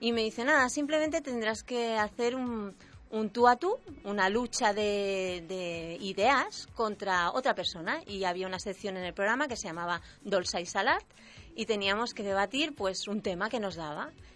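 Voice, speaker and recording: At a moderate pace, a woman speaks in an unremarkable speaking voice of medium pitch with lively intonation. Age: 40s. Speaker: local radio presenter. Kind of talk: casual interview chat. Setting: radio studio.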